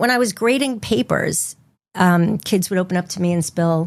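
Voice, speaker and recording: A woman speaks with lively intonation. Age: 60s. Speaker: clinical social worker. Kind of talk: interview.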